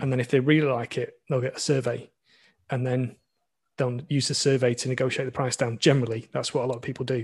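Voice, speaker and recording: A man with a Lancashire accent talks very fast at a medium pitch, his somewhat breathy voice monotone and flat against a quiet background. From Blackpool, northern England. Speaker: sailing YouTuber and boat dealer. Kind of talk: casual interview. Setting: remote call.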